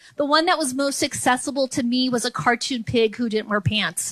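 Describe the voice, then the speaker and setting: In a Californian accent, a woman speaks in a raised, projected voice. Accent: General American (California). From San Francisco Bay Area, California. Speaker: comedian. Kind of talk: stand-up. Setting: comedy club. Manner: repetitions and blocks on sounds.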